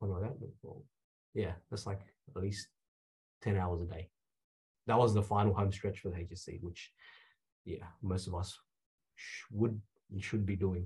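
A man's somewhat breathy, fairly low voice with a dark, mellow tone, moderate pace, fairly even intonation and long, frequent pauses on a very clean recording with a silent background. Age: 20s. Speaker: pharmacist. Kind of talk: interview conversation.

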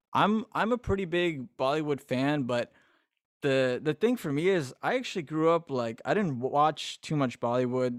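Speaking with an American accent, a man uses a plain, everyday voice at a fairly high pitch and a moderate pace. His intonation is lively, and the sound is dry and close with no echo. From Massachusetts, US. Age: 20s. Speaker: musician. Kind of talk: casual interview. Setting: remote call at night.

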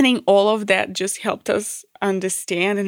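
A woman with a Macedonian accent speaks at a moderate pace. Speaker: podcast host. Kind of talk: casual conversation. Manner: halting, many fillers.

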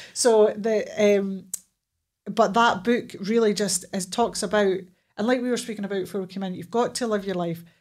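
On a very clean recording with a silent background, a woman in a Scottish accent speaks fairly quickly at a medium pitch with monotone, flat intonation. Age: 40s. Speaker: therapist and police officer. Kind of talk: casual chat.

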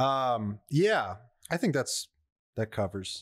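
A man speaks at a very slow pace, his medium pitch rising and falling in very wide swings. The recording is very clean, with a silent background. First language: not English. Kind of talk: casual chat.

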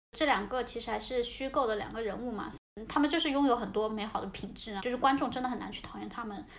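In a room with audible echo, a woman with a fairly high pitch and ordinary pitch variation talks at a very fast pace. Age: 20s. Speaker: podcast host and social worker. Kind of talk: casual chat. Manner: hesitant, with fillers.

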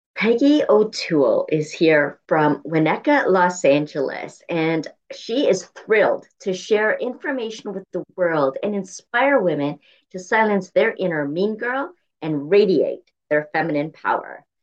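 A woman's medium-pitched voice in a warm, enthusiastic tone, at a fairly slow pace with very wide pitch swings. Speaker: podcast host. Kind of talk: interview.

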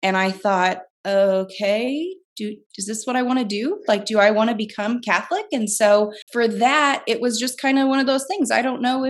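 A woman with an American accent has an ordinary speaking voice, pitched fairly high. She talks at a moderate pace against a quiet background. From US Midwest, southern Illinois. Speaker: stay-at-home mom. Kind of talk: casual chat.

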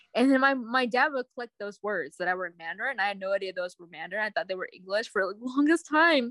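A woman at a fairly high pitch in a bright, sharp tone, very fast with hardly any pauses, very wide pitch swings and big swings in loudness, in a dry, close sound with no echo. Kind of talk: casual chat.

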